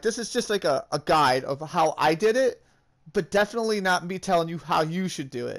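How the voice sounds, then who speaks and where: A man's high-pitched voice with lively intonation, on a very clean recording against a silent background. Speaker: gaming youtuber. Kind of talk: tutorial. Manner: fast.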